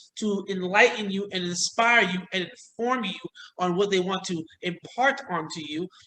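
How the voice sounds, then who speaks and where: Using a raised, projected voice, a man talks very slowly with ordinary pitch variation. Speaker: motivational speaker and trainer. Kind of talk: casual chat.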